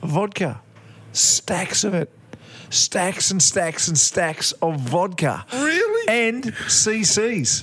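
With an Australian accent, a man speaks very slowly at a high pitch, with very wide pitch swings and very even loudness over noticeable background noise. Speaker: podcast co-host. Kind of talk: casual chat. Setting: pub, next to an open window.

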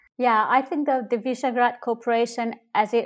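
Recorded very cleanly against a silent background, a woman talks at a moderate pace with a Hungarian accent. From Hungary. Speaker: politician. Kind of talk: interview.

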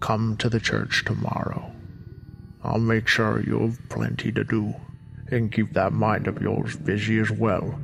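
Putting on a gruff character voice, a man speaks at a moderate pace with very even loudness over clear background noise. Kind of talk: horror audio drama. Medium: audio drama. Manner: gruff, commanding.

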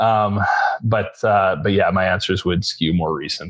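A man speaks at a fairly slow pace in a low pitch, with ordinary pitch variation.

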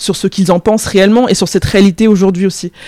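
A woman speaks with a dark, mellow tone and fairly even intonation. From France, Paris suburbs, of Cameroonian parents. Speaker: freelance journalist. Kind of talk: interview conversation. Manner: hesitant, many fillers.

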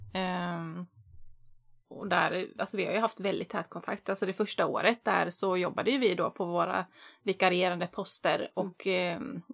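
A woman's medium-pitched, normal speaking voice at a moderate pace, fairly even in intonation, dry and close with no echo, on a very clean recording with a silent background. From Västerås, Sweden. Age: 30s. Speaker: podcast host. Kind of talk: casual chat.

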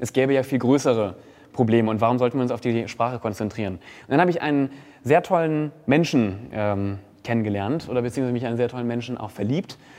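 Very fast speech from a man at a medium pitch. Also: ordinary pitch variation. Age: 20s. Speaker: influencer and presenter. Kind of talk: casual chat.

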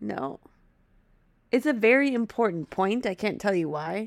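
With a Wisconsin accent, a woman speaks at a fairly slow pace and medium pitch, animated in tone with lively intonation, in a dry, close sound with no echo. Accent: Upper Midwest US (Wisconsin). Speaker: podcast co-host. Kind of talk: casual chat. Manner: giggly, animated.

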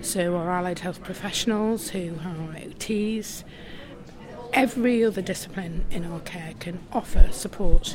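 Over noticeable background noise, a woman with a medium pitch speaks fairly slowly, using ordinary pitch variation and big swings in loudness. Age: 60s. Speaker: mental health lived-experience advocate. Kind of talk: interview. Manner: hesitant, frequent ums.

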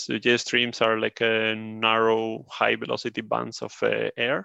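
A man speaks with a Spanish accent against a quiet background. The sound is dry and close, with no echo. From Spain. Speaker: turbulence engineer. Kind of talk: interview.

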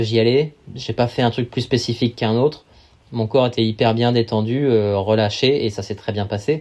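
Against a quiet background, a man with a medium-pitched voice talks at a moderate pace with fairly even intonation. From Paris region, France (Val d'Oise). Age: 30s. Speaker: endurance athlete and sailor. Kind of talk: casual interview. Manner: hesitant, many fillers.

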